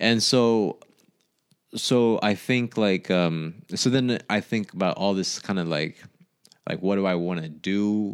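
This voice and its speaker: A man speaks very slowly, his pitch fairly low. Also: ordinary pitch variation. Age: 30s. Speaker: podcast co-host. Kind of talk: casual chat.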